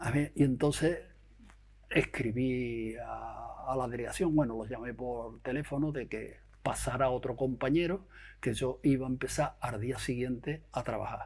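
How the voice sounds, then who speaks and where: A somewhat breathy man at a fairly slow pace with fairly even intonation. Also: medium pitch for a man. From Andalusia, Huelva province. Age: 70s. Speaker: retired bank employee. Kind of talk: interview testimony. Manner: halting.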